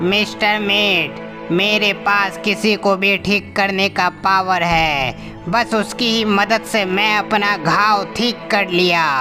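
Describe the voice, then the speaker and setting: Over loud music in the background, a cartoonish character voice at a middle pitch speaks at a fairly slow pace. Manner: deferential to his master.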